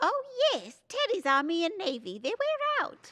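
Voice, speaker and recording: A woman's put-on character voice, squeaky and extremely high-pitched, with very wide pitch swings at a moderate pace. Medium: audio drama.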